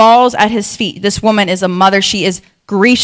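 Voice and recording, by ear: The speaker reads aloud in a natural voice while the background stays quiet.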